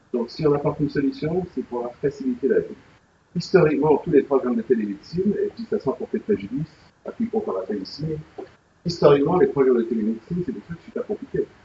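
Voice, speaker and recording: Talking at a very fast pace, a man with a fairly high voice makes very wide pitch swings and big swings in loudness. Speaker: health tech company president, speaker. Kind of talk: presentation at a business breakfast. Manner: animated.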